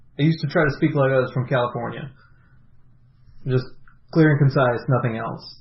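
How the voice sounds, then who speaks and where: A somewhat breathy man with an American accent, medium pitch, fairly even intonation and long, frequent pauses. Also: fairly quick pace. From US South. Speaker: podcast co-host. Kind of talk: casual chat.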